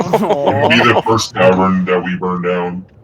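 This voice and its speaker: A put-on character voice from a man, very deep and low, at a fairly slow pace. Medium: actual play. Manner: playful, teasing.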